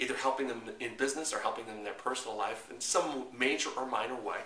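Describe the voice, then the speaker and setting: A man rattles along at a very fast pace amid audible room echo and noticeable background noise. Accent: New York. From New York. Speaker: marketing consultant. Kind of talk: tutorial. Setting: recorded to camera. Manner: halting with frequent fillers and repeats.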